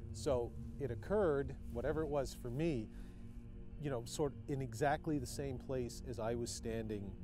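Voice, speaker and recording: A man's voice with clear music in the background and a dry sound with no echo. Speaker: paranormal show host. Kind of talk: on-location recounting to camera. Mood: earnest, slightly unnerved. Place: open country. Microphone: lapel.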